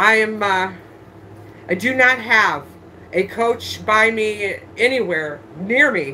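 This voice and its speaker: Over light background noise, a woman talks with lively intonation. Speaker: online handbag reseller. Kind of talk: live-stream sales show. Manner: loud. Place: home room. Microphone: phone near.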